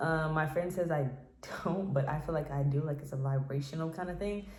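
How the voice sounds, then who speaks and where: A woman talks at a moderate pace in a very deep, low pitch, her somewhat breathy, dark and mellow voice relaxed in tone with fairly even intonation and audible room echo. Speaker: independent singer and vlogger. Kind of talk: casual vlog monologue. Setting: home office. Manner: relaxed with many fillers.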